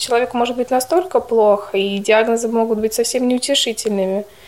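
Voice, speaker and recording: With ordinary pitch variation, the voice moves along at a fairly quick pace. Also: woman. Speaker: nursing student. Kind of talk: interview.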